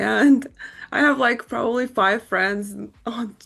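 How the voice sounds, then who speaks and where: A woman speaks over noticeable background noise. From born in Ukraine, raised in the US. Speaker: podcast host and fashion blogger. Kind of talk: interview.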